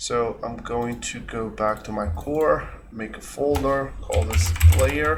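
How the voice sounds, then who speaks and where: Someone with a non-native accent talks at a very slow pace against noticeable background noise. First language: not English. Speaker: game developer. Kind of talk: tutorial. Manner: hesitant, many fillers.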